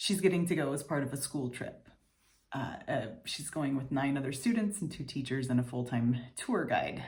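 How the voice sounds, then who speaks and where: A woman with a very deep, low pitch speaks at a moderate pace in a somewhat breathy voice with lively intonation, and the room echo is audible. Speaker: video diary vlogger. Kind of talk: personal video diary.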